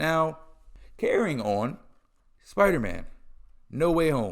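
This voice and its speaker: With an animated tone, a man talks in a fairly high pitch. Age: 20s. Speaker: podcast host. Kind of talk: casual solo podcast rant.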